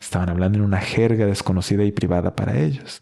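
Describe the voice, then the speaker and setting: A man talks at a moderate pace with a fairly low pitch. His tone is dark and mellow. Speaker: book podcast host. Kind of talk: book review monologue.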